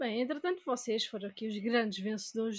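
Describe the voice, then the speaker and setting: A woman with a European Portuguese accent speaks at a moderate pace and a fairly high pitch. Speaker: gaming podcast co-host. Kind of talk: casual chat; news reading.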